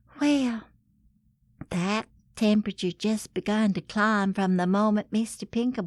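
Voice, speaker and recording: Fairly slow and fairly high-pitched, a woman speaks with a Southern US accent. The sound is dry and close, without echo. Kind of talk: comedic scripted letter reading.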